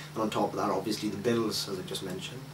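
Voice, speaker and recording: A man talks in a South Welsh accent. Noticeable background noise and audible room echo accompany him. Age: 20s. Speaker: interviewee. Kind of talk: interview. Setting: at home, in his flat. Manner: hesitant, filler-heavy.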